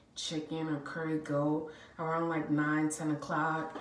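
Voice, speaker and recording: The speech is fairly slow, with a monotone, flat intonation. Audible room echo and light background noise are present. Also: woman. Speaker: vlogger. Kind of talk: casual vlog storytelling. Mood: warm, chatty. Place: bathroom. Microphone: phone near.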